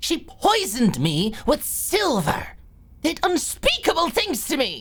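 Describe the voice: A woman's put-on character voice, high-pitched and fairly bright, with very wide pitch swings at a slow pace.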